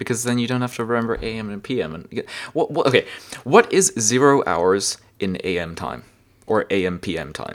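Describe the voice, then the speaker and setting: In a very clean recording with a silent background, the speaker moves at a fairly quick pace, with very wide pitch swings and big swings in loudness. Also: man, medium pitch for a man. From Germany. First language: German. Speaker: podcast co-host and streamer. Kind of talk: casual chat.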